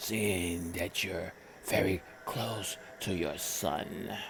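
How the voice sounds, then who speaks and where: In a put-on character voice, a man speaks at a very slow pace with a very deep, low pitch, and clear background noise can be heard. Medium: read story. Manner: menacing.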